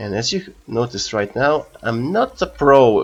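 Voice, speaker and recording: A man is speaking here. His speech carries a non-native accent. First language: not English. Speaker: gaming youtuber. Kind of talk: gameplay commentary. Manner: halting.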